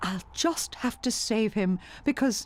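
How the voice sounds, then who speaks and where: A woman's put-on character voice at a fairly slow pace. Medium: read story. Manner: earnest, sincere.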